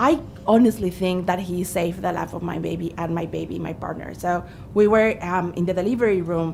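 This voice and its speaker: Against noticeable background noise, a woman with a strong non-native accent speaks at a fairly low pitch. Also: ordinary pitch variation, fairly quick pace. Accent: thick foreign. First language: not English. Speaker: witness at a parliamentary inquiry, mother. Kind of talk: testimony. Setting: parliamentary committee hearing.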